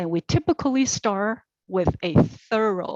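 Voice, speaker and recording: Lively intonation marks this woman's speech in a non-native accent. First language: not English. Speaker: commission applicant. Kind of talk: interview answer. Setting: virtual meeting. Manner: deliberate, tries not to rush.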